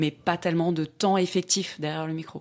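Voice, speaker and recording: In a normal speaking voice, a woman speaks at a moderate pace. Her intonation stays fairly even. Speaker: voice actor. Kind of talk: casual interview answer explaining her profession.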